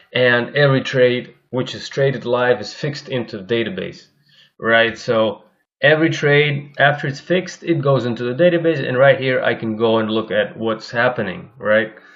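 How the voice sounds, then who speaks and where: A man with a Russian accent speaks at a moderate pace, his pitch medium and his pitch variation ordinary. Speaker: algorithmic trader and course instructor. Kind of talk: screen-share tutorial. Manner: halting, many fillers and repetitions.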